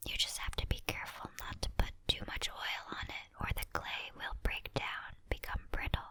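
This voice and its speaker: Whispering at a moderate pace, a woman comes through over noticeable background noise. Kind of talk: ASMR crafting tutorial. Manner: whispered.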